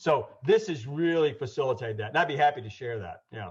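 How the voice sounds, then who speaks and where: A man with an American accent talks at a fairly quick pace. His voice is somewhat breathy against a quiet background. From US South, Georgia (Atlanta). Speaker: Lean Six Sigma consultant and trainer. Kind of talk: webinar presentation. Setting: online webinar. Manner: fast.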